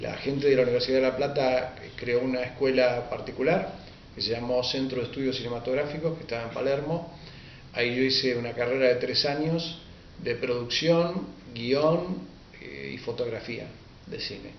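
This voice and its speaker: A man with a Rioplatense accent, with audible room echo and noticeable background noise. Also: medium pitch for a man, ordinary pitch variation, moderate pace. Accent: Rioplatense Spanish (porteño). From Argentina, Buenos Aires. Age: 60s. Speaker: writer and history teacher. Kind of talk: interview. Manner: hesitant, with frequent fillers.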